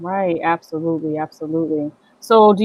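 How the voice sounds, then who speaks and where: This woman talks at a moderate pace in a fairly low pitch. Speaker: show host. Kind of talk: casual talk to camera.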